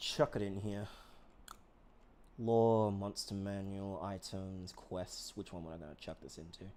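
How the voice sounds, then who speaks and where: A man mumbles at a moderate pace. His pitch is fairly low. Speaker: streamer and game master. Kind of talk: casual chat. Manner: mumbling.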